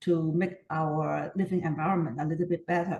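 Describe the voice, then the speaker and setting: Somewhat breathy speech with a Hong Kong accent, fairly even intonation and a moderate pace. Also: woman. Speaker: community repair volunteer. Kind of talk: interview. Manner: hesitant, many fillers.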